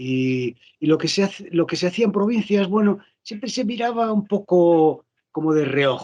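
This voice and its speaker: Speaking at a moderate pace with lively intonation, a man with a high pitch and a slight Galician accent is heard. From Galicia, rural interior. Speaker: actor and voice dubber. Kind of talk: interview conversation. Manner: animated.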